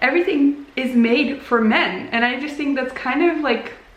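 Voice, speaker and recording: Noticeable background noise and audible room echo surround the recording. A woman speaks with lively intonation. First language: Dutch. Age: 20s. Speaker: crafts vlogger. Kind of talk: casual chat. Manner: casual, with hesitations.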